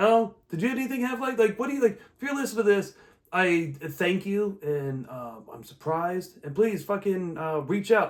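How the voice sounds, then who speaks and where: A man with an American accent speaks at a high pitch, with very wide pitch swings. His loudness also swings widely. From Omaha, Nebraska, US Midwest. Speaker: comedian and podcast host. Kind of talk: casual chat. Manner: fast; rambling, halting with fillers.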